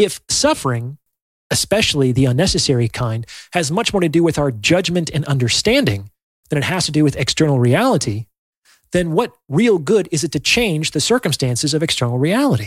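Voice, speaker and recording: Speaking fairly quickly in a fairly high, somewhat breathy voice with very wide pitch swings, a man is heard in a dry, close, very clean recording with no echo and a silent background. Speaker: psychologist and podcast host. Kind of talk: solo talk on psychology and spirituality. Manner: earnest, reflective.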